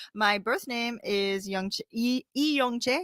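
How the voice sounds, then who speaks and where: In a western New York accent, a bright, sharp voice with ordinary pitch variation comes through a dry, close, echo-free, very clean recording with a silent background. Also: woman. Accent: western New York American. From US Northeast (Rochester, western New York). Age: 30s. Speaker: guest. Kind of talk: casual chat.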